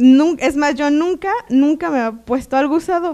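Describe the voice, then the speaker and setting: A woman talks rather slowly. Little sound comes from behind her. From Mexico, Toluca; Mexico. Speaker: seminar graduate. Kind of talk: testimony. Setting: seminar room with audience. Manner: halting, many fillers and repetitions. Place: hall. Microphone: handheld.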